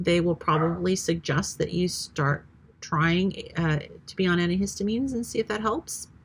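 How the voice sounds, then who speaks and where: A somewhat breathy woman at fairly low pitch, moderate pace and ordinary pitch variation. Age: 50s. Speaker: retired nurse, health vlogger. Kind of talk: casual vlog monologue. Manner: hesitant, many fillers.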